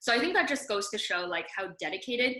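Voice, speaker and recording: In a Mandarin accent, a woman speaks with a bright, sharp tone. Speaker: debate coach. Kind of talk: seminar talk.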